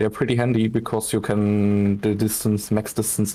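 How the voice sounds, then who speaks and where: The speaker has a non-native accent and keeps a moderate pace. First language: not English. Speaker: game ship designer. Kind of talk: walkthrough demo. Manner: halting.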